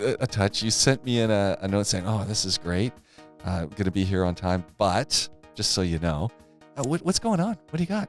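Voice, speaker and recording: Backed by music, a man with a fairly low pitch speaks at a moderate pace, his intonation lively and his loudness very even. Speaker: podcast host. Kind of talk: casual podcast conversation.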